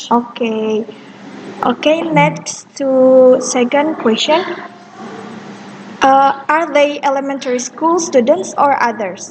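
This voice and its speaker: Against noticeable background noise, a woman speaks very slowly in a high voice, with very even loudness and long, frequent pauses. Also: ordinary pitch variation. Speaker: student interviewer. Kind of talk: class assignment interview. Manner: halting.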